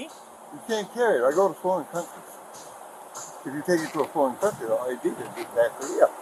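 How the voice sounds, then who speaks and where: A man at a fairly quick pace with big swings in loudness, over noticeable background noise. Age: 80s+. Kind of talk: police body cam exchange.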